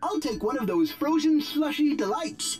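In a put-on character voice with a high pitch, the speaker goes at a moderate pace over faint music in the background. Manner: affected, strange way of talking.

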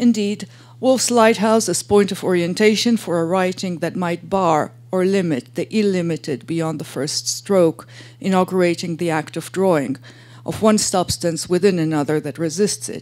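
At a moderate pace, a woman speaks in a fairly low pitch with ordinary pitch variation. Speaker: academic lecturer. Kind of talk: lecture. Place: hall. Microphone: podium.

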